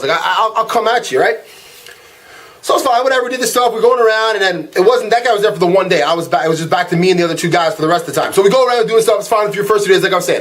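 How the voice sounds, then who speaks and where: Over noticeable background noise, a man talks very fast in a high pitch with ordinary pitch variation. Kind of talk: casual rant to camera. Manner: fast-talking.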